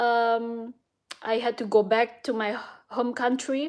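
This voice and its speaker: A woman with an Indonesian accent speaks at a very slow pace. Her pitch is fairly high, over a quiet background. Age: 30s. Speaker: vlogger and illustrator. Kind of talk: casual vlog monologue. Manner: hesitant, many fillers.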